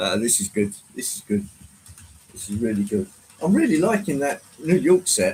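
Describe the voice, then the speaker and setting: A fairly high-pitched man with an English accent and vocal fry, at a moderate pace, with very wide pitch swings, big swings in loudness and long, frequent pauses. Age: 60s. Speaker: model train livestreamer. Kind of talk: casual livestream chat. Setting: live stream with chat. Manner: hesitant, filler-heavy.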